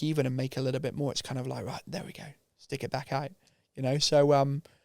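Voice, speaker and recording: Speaking very fast in a monotone with flat intonation, a man talks with a British accent. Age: 30s. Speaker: mountain bike business founder. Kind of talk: casual chat.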